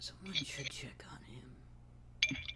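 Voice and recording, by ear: A raspy, put-on character voice from a man, over noticeable background noise.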